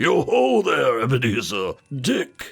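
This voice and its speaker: A man puts on a raspy character voice. He talks at a fairly slow pace. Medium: read story. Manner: jovial, hearty.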